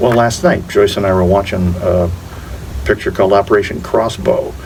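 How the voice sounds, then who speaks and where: A man with an American accent speaks in a room with audible echo while music plays in the background. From Florida Keys, US. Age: 70s. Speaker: actor. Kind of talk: casual interview.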